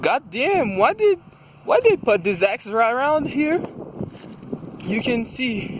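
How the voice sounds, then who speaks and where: There is noticeable background noise as a man talks at a fairly slow pace. His pitch swings very widely. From Brazil. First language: Portuguese. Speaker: vlogger. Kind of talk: casual monologue vlog. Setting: outdoors. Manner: halting.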